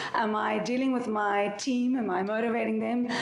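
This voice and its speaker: A woman talks with ordinary pitch variation, with audible room echo and noticeable background noise. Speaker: startup founder and CEO. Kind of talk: panel discussion.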